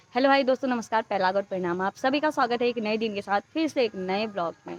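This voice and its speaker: With music in the background, a woman talks at a fairly quick pace in a fairly high pitch with ordinary pitch variation. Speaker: family vlogger. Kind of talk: casual vlog talk. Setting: outdoors roadside.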